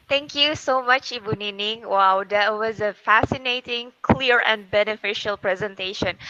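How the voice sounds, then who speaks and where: With an Indonesian accent, a woman speaks at a moderate pace with hardly any pauses, her fairly high pitch carrying a bright, sharp tone and ordinary pitch variation. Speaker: moderator. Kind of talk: webinar moderation. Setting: video call.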